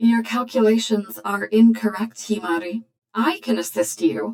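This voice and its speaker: A woman uses a put-on character voice that sounds robotic. Her pitch is medium and her pace moderate. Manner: chirpy.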